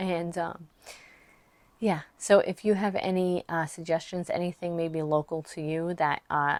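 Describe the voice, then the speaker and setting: At a fairly slow pace, a woman with a fairly low pitch speaks in a monotone, flat intonation, the sound dry and close with no echo. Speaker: online business coach and author. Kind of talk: casual vlog talk to camera. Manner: hesitant, many fillers.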